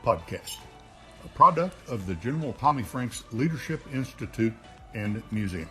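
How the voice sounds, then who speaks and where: Music in the background under a man at medium pitch, with lively intonation, a moderate pace and big swings in loudness. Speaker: podcast host. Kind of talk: podcast intro.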